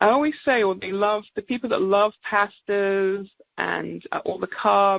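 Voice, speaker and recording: A woman speaks in an English accent at a medium pitch. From England. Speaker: naturopathic doctor. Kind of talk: product presentation on a group call. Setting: conference call.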